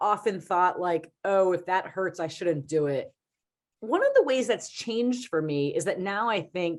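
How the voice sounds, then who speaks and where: A woman with an American accent and a normal speaking voice talks at a fairly slow pace in a medium pitch, her intonation lively. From Philadelphia, US. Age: 40s. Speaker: philosophy professor, marathon runner. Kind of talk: public talk Q&A.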